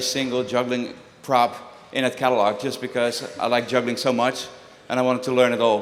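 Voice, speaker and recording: Noticeable background noise and audible room echo surround the recording. A man talks at medium pitch and a fairly quick pace. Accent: Dutch. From Netherlands. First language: Dutch. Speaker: juggler and prop designer. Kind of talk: talk to a live audience. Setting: stage with audience. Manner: conversational, animated.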